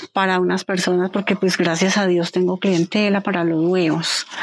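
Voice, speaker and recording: A woman talks at a moderate tempo while noticeable noise fills the background. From Colombia, Quindío (Pijao). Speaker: poultry and dairy farmer. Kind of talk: interview testimony. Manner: halting.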